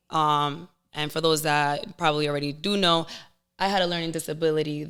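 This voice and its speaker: A woman's very deep, low voice in a Spanish accent, fairly quick and fairly even in intonation, on a very clean recording with a silent background. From Providence, Rhode Island, US; Dominican family. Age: 20s. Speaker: podcast guest, fitness competitor. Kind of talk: casual chat.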